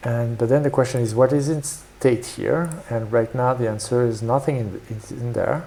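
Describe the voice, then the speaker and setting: The speaker has a French accent. There are hardly any pauses. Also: moderate pace. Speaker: programming streamer. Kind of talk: live coding stream; casual chat with viewers. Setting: live stream. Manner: hesitant, many fillers.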